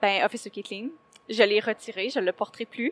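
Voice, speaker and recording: A woman in a normal speaking voice with fairly even intonation is heard in a dry, close sound with no echo on a very clean recording with a silent background. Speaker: cosplayer. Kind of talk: interview. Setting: convention floor.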